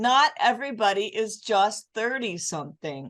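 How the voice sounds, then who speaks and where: An unremarkable speaking voice from a woman, fairly slow and lively in intonation, over a quiet background. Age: 60s. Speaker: fitness podcast host, former fitness competitor. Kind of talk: casual interview chat.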